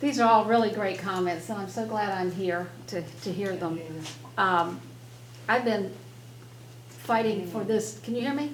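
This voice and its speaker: With lively intonation and long, frequent pauses, a woman at medium pitch talks at a moderate pace amid audible room echo. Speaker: local elected official. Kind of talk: public meeting remarks. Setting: public meeting room with audience. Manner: hesitant, with restarts.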